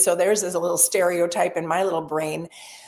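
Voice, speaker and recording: A woman talks at a moderate pace. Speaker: real estate sales trainer. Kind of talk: webinar training session. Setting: live webinar. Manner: animated.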